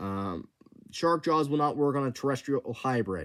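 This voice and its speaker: Very wide pitch swings from a man at a fairly high pitch and moderate pace, on a very clean recording with a silent background. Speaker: YouTuber running a fan creature contest. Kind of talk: casual monologue explaining rules. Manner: halting, stuttering; many filler words.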